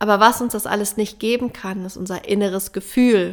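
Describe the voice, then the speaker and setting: An ordinary speaking voice from a woman, medium in pitch, at a moderate pace with fairly even intonation, in a very clean recording with a silent background. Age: 30s. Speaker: plant medicine ceremony facilitator and podcaster. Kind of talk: spiritual monologue. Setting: alone in a room at home.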